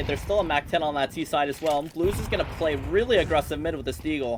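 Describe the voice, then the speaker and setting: An animated voice at a very fast pace with hardly any pauses, over noticeable background noise. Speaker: esports caster. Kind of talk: live play-by-play commentary. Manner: fast, animated.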